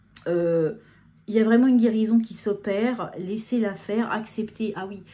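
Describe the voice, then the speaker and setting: Somewhat breathy, a woman speaks at a moderate pace in a fairly high pitch with a dark, mellow tone. Her intonation stays fairly even while her loudness swings widely. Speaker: medium giving channeled messages. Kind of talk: live channeled guidance talk to viewers. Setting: filmed on camera under video lights. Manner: hesitant, many fillers and repetitions.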